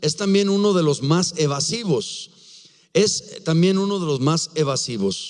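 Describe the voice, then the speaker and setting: A man's high-pitched voice with lively intonation, very even loudness and a fairly slow pace. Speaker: pastor. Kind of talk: sermon.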